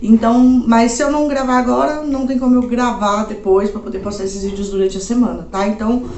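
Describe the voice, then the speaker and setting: Noticeable background noise and audible room echo surround this woman's speech. Her fairly high pitch varies in an ordinary way as she talks at a fairly quick pace. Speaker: anime YouTuber. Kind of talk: casual recommendation video. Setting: home. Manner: casual, uses many fillers.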